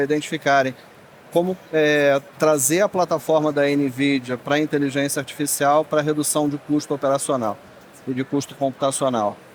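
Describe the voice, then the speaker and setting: With noticeable background noise behind him, a man speaks at a moderate pace in a fairly high pitch and monotone, flat intonation. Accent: Rio de Janeiro. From Rio de Janeiro, Brazil. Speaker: tech industry manager. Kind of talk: panel discussion.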